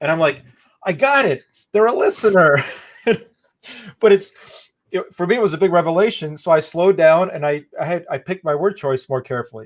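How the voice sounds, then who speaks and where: Pitched high, a man talks at a fairly quick pace with lively intonation. Long pauses come often. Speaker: event host. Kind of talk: interview. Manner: fast.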